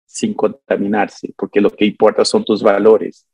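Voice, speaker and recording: A man speaks at a moderate pace. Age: 50s. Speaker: psychic and self-styled prophet. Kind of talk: interview conversation.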